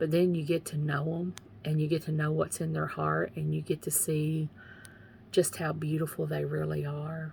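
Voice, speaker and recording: Here a woman speaks with an Eastern Kentucky accent. She keeps to a fairly slow pace. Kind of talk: faith testimony livestream. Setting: live video from home. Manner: casual, repetitive.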